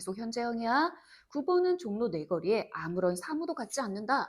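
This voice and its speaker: A woman speaks at a moderate pace in a fairly high voice with very wide pitch swings. The recording is very clean, with a silent background. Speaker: Korean literature tutor. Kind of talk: lecture. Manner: casual, informal speech.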